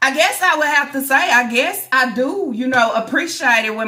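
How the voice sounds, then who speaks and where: Loud and animated, a woman talks at a moderate pace with a high pitch and very wide swings in pitch, against noticeable background noise. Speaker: YouTuber reacting to social media drama. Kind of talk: casual vlog commentary.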